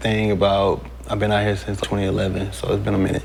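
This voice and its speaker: A man's fairly low voice with an American accent at a very fast pace, with audible room echo. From Texas, Houston. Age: 30s. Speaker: dating show contestant. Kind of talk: casual chat.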